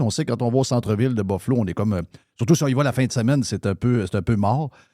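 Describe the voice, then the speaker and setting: A man with a Quebec accent speaks with lively intonation. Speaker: radio host. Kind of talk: talk radio show. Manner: casual, conversational.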